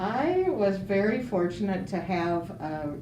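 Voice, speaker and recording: A woman with an Upper Midwest US accent, with audible room echo and noticeable background noise. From Wisconsin, Madison area. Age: 60s. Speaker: watercolor artist. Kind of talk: interview.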